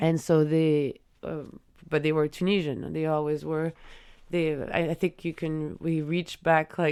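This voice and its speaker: Speaking with a French accent, a woman uses a very deep, low pitch and a dark, mellow tone. Her intonation is monotone and flat, and her pace is fairly slow. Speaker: artist and farmer. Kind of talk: interview. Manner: halting, many false starts.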